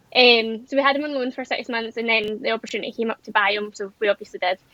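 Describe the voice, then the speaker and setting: Speaking very fast in a Scottish accent, a woman with a fairly high voice keeps a monotone, flat intonation. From Scotland, North Ayrshire. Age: 20s. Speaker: amateur event rider. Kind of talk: podcast interview.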